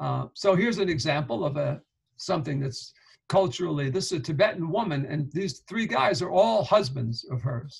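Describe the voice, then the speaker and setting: A man with a New York accent speaks at a fairly high pitch. His voice shows vocal fry, and his pace is moderate. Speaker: professor. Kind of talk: lecture.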